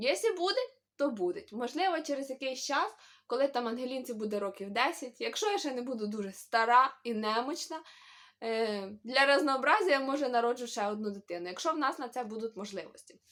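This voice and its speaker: A woman speaks fairly quickly at a high pitch with very wide pitch swings. Her tone is animated. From Ukraine, Khmelnytskyi. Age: 20s. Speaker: vlogger, mother. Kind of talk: casual vlog Q&A. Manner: chatty, animated.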